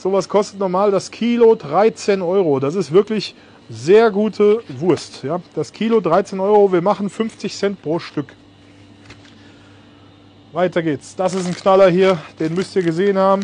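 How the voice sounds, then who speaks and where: A man speaks in a high pitch at a fairly slow pace, with ordinary pitch variation. He leaves long, frequent pauses, and the sound is dry with no echo. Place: shop.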